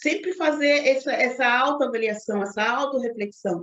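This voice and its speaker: High-pitched female voice at a fairly slow pace. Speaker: leadership coach. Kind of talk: lecture. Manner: halting.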